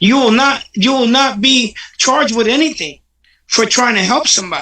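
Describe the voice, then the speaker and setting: At a moderate pace, a man uses an extremely high, bright, sharp, raised and projected voice with ordinary pitch variation and very even loudness. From Paterson, New Jersey, Puerto Rican family. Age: 60s. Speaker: recovery advocate. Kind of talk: interview. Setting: livestream.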